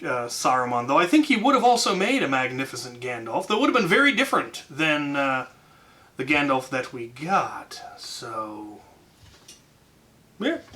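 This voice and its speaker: A man speaks at a moderate speed while noticeable noise carries on in the background. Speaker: YouTuber answering fan questions. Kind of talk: casual Q&A. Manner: loud; hesitant, many fillers.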